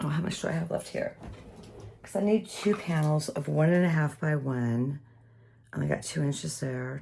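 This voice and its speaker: A woman's very deep, low pitch with ordinary pitch variation, a moderate pace, and long, frequent pauses. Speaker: papercraft tutorial creator. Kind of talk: tutorial. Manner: casual chatty.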